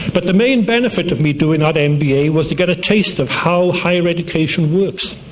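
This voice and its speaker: Noticeable background noise accompanies a man with a high pitch. He moves at a moderate pace with ordinary pitch variation. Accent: Welsh. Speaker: university dean. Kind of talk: commencement speech. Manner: formal.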